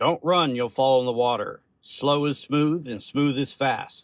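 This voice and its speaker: A man puts on a character voice pitched fairly high. He delivers it at a fairly slow pace. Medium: read story.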